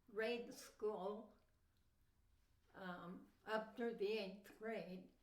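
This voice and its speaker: A woman of medium pitch at a very slow pace, with audible room echo. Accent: American. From Southern California (Mojave Desert). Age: 80s+. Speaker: grandmother telling life story. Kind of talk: life story interview. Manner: brief answers.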